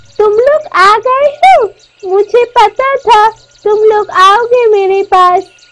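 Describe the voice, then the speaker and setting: Using a cartoonish character voice, a woman speaks at an extremely high pitch and a fairly slow pace. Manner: calm, knowing.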